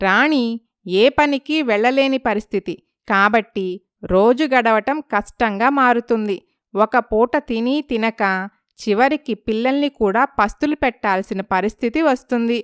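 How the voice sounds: In a fairly high voice with a clear, smooth tone, a woman speaks at a fairly slow pace with ordinary pitch variation, the sound dry and close with no echo.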